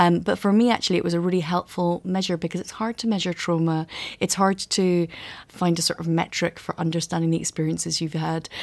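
On a very clean recording with a silent background, the speaker talks at a very fast pace with a Scottish accent and fairly even intonation. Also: woman, fairly low pitch for a woman. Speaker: author. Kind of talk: interview.

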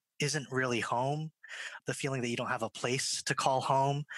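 The sound is dry and close with no echo as a man with an American accent talks in a normal speaking voice at medium pitch with fairly even intonation. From Japan, Singapore and Irvine, California. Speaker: actor and theater director. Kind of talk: panel discussion. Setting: video call.

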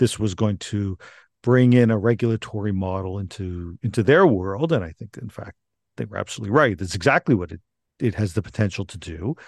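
In a quiet background with a dry, close sound and no echo, a man with an ordinary speaking voice and a Canadian accent talks at a moderate pace with lively intonation. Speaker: law professor. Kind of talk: interview.

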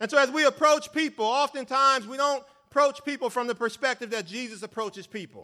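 A man's extremely high, raised and projected voice, animated and bright with a sharp tone, fairly quick, with ordinary pitch variation. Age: 40s. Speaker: lay preacher and educator. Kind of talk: sermon. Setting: church stage with congregation.

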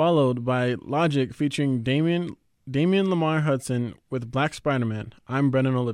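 A normal speaking voice from a man, pitched at a medium level, with ordinary pitch variation and a moderate pace. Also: quiet background. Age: young. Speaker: youth radio host. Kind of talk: radio presenting; roundtable discussion.

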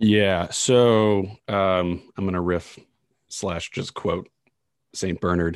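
A man with an American accent speaks at a very slow pace in a very deep, low pitch, leaving long, frequent pauses. His intonation stays fairly even against a quiet background. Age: 20s. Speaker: podcast co-host. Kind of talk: casual religious discussion podcast.

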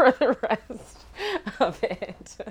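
A woman with a Canadian accent and very wide pitch swings, against noticeable background noise. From Winnipeg, Canada. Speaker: young woman discussing loss with a friend. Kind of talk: casual chat.

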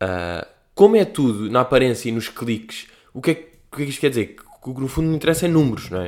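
At a very fast pace, a man with a medium pitch speaks in an animated tone, his pitch swinging very widely and his loudness shifting in big swings. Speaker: podcast host. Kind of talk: casual solo monologue.

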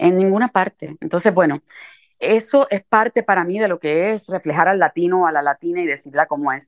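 A woman with a Puerto Rican accent speaks at a moderate pace and medium pitch, her tone energetic and her intonation lively, in a dry, close sound with no echo. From Puerto Rico, Carolina. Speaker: writer. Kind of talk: interview conversation. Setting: remote call.

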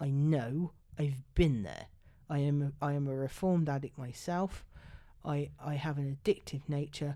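A woman's very deep, low-pitched voice, dark and mellow in tone, with fairly even intonation at a moderate pace, on a very clean recording over a silent background. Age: 30s. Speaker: podcast co-host. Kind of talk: casual chat.

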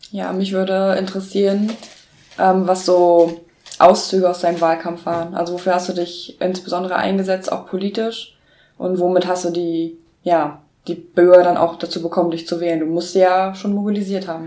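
A woman speaks at a moderate pace in a medium pitch, her dark, mellow tone held in a monotone with flat intonation. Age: 20s. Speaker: student, podcast co-host. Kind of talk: interview.

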